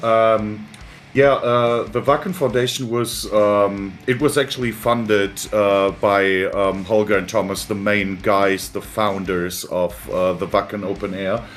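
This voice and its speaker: With music in the background, a man talks at a very slow pace, his fairly low pitch showing ordinary pitch variation. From Germany. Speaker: PR and marketing worker for a music charity. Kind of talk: interview. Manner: hesitant, many fillers.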